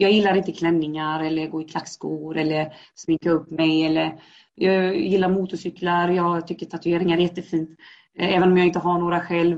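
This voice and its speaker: Her intonation monotone and flat, a woman speaks at a moderate pace with a fairly low pitch. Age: 30s. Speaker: guest sharing life story. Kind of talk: personal testimony interview.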